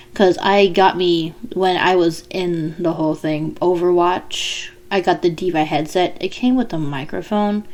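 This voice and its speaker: Against noticeable background noise, a woman with a fairly low pitch talks at a fairly slow pace with fairly even intonation. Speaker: aspiring voice actor. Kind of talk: casual vlog monologue. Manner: slurred speech. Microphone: cheap USB podcast mic, clicks and pops.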